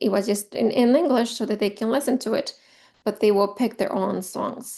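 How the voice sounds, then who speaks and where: Spoken with a strong Spanish accent, the voice has a dark, mellow tone and ordinary pitch variation. The pace is fairly quick against a quiet background. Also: woman. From Mexico. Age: 40s. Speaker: teacher trainer. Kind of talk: virtual training presentation. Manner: halting with fillers.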